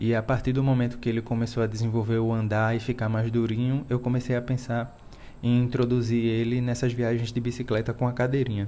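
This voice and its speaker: Intonation stays monotone and flat. The pace is fairly quick. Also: man. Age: 30s. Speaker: cyclist father. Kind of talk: recorded testimony.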